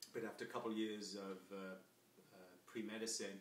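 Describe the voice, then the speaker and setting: In a room with audible echo, a man speaks with an American accent. His fairly low voice stays flat and monotone. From England, Coventry. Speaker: copywriter and salesman. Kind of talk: self-introduction video. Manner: casual with many fillers.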